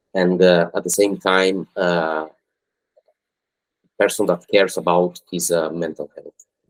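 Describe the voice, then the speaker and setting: A man's very deep, low voice with an Italian accent, fairly slow and monotone, marked by long, frequent pauses and big swings in loudness, in a dry, close sound with no echo. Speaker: football agent. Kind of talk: podcast interview. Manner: halting.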